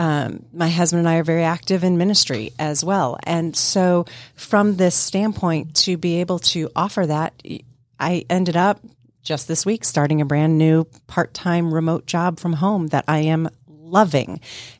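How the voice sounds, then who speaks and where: On a very clean recording with a silent background, an unremarkable speaking voice keeps fairly even intonation at a moderate pace. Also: woman, fairly low pitch for a woman. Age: 50s. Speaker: nonprofit leader. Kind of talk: interview. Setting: studio.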